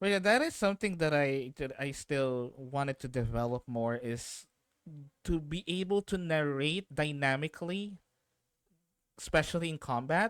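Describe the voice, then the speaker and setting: Lively in his intonation, a man with a fairly high pitch talks at a moderate pace, and the sound is dry and close with no echo. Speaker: streamer and game master. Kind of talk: casual chat. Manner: halting.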